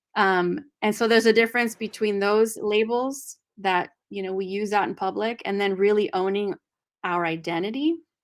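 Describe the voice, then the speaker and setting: A woman with a Spanish accent speaks at a medium pitch with fairly even intonation. The recording is very clean, with a silent background. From California Central Valley. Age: 40s. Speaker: discussion host. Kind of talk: book discussion. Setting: live video stream.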